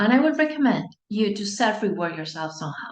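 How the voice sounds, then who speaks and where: With a Spanish accent, a woman speaks at a medium pitch, her voice showing vocal fry. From Spain. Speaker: anxiety coach. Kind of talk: online masterclass talk. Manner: warm, encouraging.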